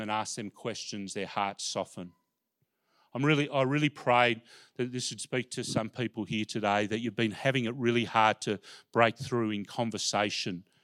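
A man with an Australian accent at medium pitch, fairly quick pace and fairly even intonation, in a very clean recording with a silent background. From Australia, Melbourne. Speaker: pastor and former sports chaplain. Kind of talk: sermon. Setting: church.

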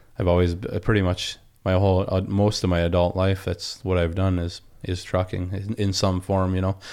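The speaker has an Upper Peninsula Michigan accent and a monotone, flat intonation on a very clean recording with a silent background. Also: man, very deep, low pitch for a man, fairly quick pace. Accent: Upper Peninsula Michigan (Yooper). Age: 30s. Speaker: log truck driver. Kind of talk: casual interview. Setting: studio.

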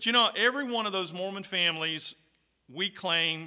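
A man with a high pitch and lively intonation. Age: 60s. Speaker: pastor and Bible college professor. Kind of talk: sermon. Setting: chapel service at a Bible college.

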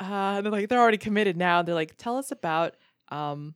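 A plain, everyday voice, with ordinary pitch variation. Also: woman. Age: 20s. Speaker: stand-up comedian. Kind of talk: casual chat.

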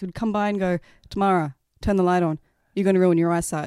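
An Australian-accented woman talks at a very fast pace with medium pitch and ordinary pitch variation, in a dry, close sound with no echo on a very clean recording with a silent background. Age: 30s. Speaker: podcast guest. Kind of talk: casual chat. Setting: indoors drinking wine with host.

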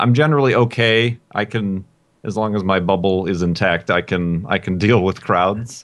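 A man with a plain, everyday voice speaks at a moderate pace in a fairly low pitch, with ordinary pitch variation. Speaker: podcast guest. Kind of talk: casual chat.

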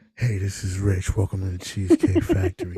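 A man's put-on character voice, very deep and low, flat and monotone, at a fairly quick pace, with a dry, close sound and no echo. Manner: smooth, polished.

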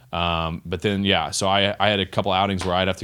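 In a very clean recording with a silent background, a man with an American accent speaks very fast in a very deep, low voice that has a bright, sharp tone and flat, monotone intonation. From Texas. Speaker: professional baseball pitcher. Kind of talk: casual chat. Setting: studio.

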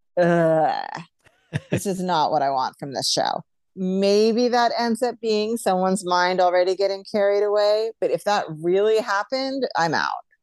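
A woman with an American accent and an ordinary speaking voice, medium in pitch, at a moderate pace with lively intonation against a quiet background. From New York. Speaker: podcast co-host. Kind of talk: casual chat.

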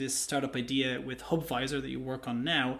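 This is an ordinary speaking voice. The pace is fairly quick. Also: man. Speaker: podcast host. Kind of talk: interview chat.

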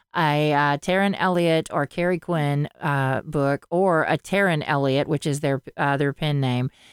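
In a Southern US accent, a woman comes through a very clean recording with a silent background and a dry, close sound with no echo. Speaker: podcast co-host and audiobook narrator. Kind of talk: casual chat. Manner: halting, many false starts.

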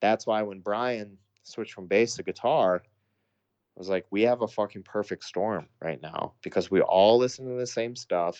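A man with an American accent talks at a moderate pace with a fairly low pitch and ordinary pitch variation. It's an unremarkable speaking voice against a quiet background. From US Midwest, Sioux Falls, South Dakota. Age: 30s. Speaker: hardcore band vocalist. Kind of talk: casual interview chat.

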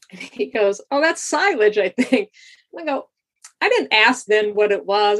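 Here a woman with an American accent and a normal speaking voice uses a fairly high pitch and lively intonation at a moderate pace. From Holyoke, Massachusetts. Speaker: university videographer. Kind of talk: casual chat. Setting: video call.

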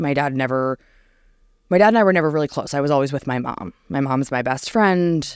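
A woman with an American accent, very deep, low pitch and lively intonation, on a very clean recording with a silent background. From New Jersey. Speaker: podcast guest sharing faith story. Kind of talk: testimony.

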